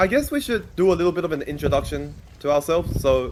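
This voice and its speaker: Noticeable background noise runs behind this recording. A man with an Australian accent speaks at a fairly quick pace. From Australia (Sydney). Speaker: fan podcaster and YouTuber. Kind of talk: casual podcast chat.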